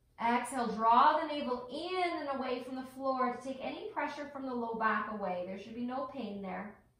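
Hardly pausing, a woman speaks in a high-pitched, gentle tone with ordinary pitch variation and big swings in loudness, with audible room echo. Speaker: yoga instructor. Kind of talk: guided yoga class with breath cues. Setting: online video class. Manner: slow, calm, soothing, with long pauses; gentle, encouraging. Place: home room. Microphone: camera far.

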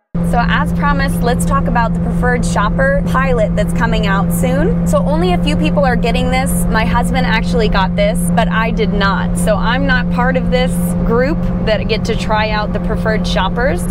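Over loud background noise, a woman's voice comes through dry, with no echo. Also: moderate pace. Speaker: gig shopper vlogger. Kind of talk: casual vlog chat. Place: car. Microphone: lapel.

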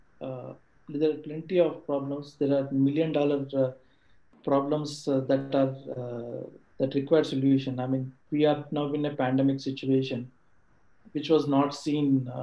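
Audible room echo surrounds a man speaking at a fairly slow pace in a fairly high, monotone, flat voice. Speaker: colleague of speaker, answering audience questions; speaker. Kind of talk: talk / webinar presentation. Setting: video call webinar. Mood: motivational, earnest. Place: home room. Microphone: video call.

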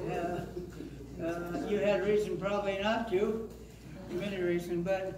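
Amid noticeable background noise and audible room echo, a man talks at a fairly slow pace with fairly even intonation. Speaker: pastor. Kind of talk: casual remarks to an audience. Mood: warm, grateful. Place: church.

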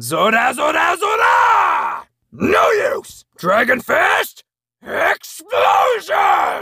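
A man shouting in a strained, put-on character voice. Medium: voice reel. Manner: shouted, strained yells.

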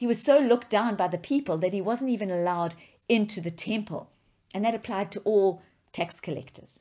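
At a fairly quick pace, a woman with a medium-pitched voice speaks with ordinary pitch variation against a quiet background. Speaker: preacher. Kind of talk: sermon.

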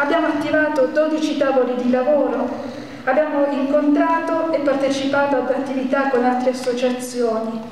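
A woman speaks at a high pitch and a moderate pace, in a flat, monotone way. Strong room echo and light background noise fill the recording. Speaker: citizen movement organizer. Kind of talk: public speech. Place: hall.

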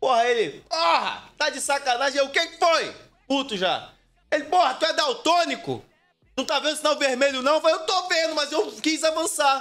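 A man's extremely high-pitched voice with a bright, sharp tone, ordinary pitch variation and a moderate pace. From Brazil. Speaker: streamer. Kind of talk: casual chat. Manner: animated. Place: home room. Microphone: studio mic.

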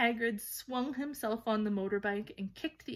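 The pitch shifts about as much as usual. It is an unforced reading voice.

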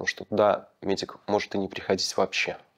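Noticeable background noise sits behind a man talking. His pitch is fairly low and his pace moderate. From Belarus. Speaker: former political prisoner; interviewee. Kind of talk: testimony. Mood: calm, serious. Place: empty room. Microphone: lapel.

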